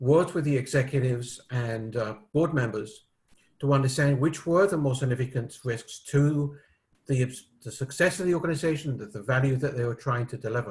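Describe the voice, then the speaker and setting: A man speaks at a moderate pace with a medium pitch. His voice is somewhat breathy, with ordinary pitch variation. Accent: British. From United Kingdom. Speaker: risk management expert. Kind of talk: interview. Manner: hesitant with fillers.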